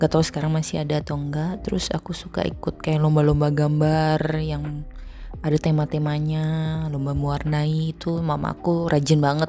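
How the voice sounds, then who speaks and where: Music plays in the background as the speaker talks fairly quickly in a relaxed tone with monotone, flat intonation. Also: woman, very deep, low pitch for a woman. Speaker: fashion illustrator and YouTuber. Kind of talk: casual talk while drawing, answering viewer questions. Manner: relaxed, casual.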